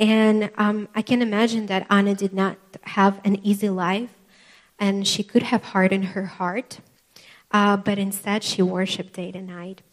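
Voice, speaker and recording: Her intonation is monotone and flat. This woman's voice has big swings in loudness. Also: medium pitch for a woman, moderate pace. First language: not English. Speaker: preacher. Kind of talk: sermon. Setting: church with live congregation. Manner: halting, with frequent fillers.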